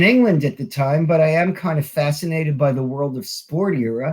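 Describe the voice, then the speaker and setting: A man with a high pitch speaks at a moderate pace. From New York. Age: 60s. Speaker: wrestling author. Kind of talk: interview.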